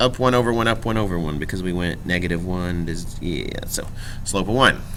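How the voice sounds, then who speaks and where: A man's very deep, low voice with ordinary pitch variation, audible room echo and noticeable background noise. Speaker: high school math teacher. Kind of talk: recorded lecture. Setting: recorded classroom video. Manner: fast.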